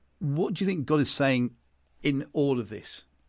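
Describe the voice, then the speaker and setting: A man speaks in a British accent. His pitch sits fairly high. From England. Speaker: podcast host. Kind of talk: casual interview.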